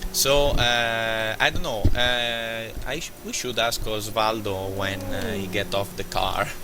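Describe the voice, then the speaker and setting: With music in the background and audible room echo, a man speaks in a non-native accent at a very slow pace. He leaves hardly any pauses and uses ordinary pitch variation. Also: medium pitch for a man. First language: not English. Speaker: sim racing driver. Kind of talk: post-race interview. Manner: halting.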